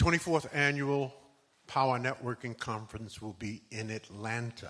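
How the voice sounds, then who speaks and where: At a moderate pace, a man with a medium pitch speaks in a bright, sharp tone, with ordinary pitch variation and big swings in loudness. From US Northeast (Bed-Stuy, Brooklyn, New York). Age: 80s. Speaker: conference speaker and author. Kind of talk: motivational speech.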